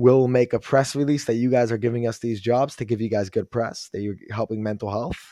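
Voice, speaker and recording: Over a quiet background, a man with a dark, mellow tone talks at a medium pitch and a fairly quick pace. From Quebec, Montreal. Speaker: recovering addict. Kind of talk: interview testimony. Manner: upbeat.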